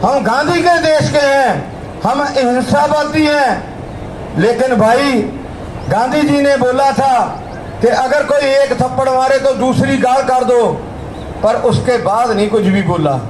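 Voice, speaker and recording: A man with a Punjabi accent speaks at an extremely high pitch with ordinary pitch variation and very even loudness, amid audible room echo and noticeable background noise. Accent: Punjabi-accented Hindi. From Punjab, India. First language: Punjabi (speaking Hindi). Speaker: protest speaker. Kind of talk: protest speech. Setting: outdoor protest rally. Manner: impassioned.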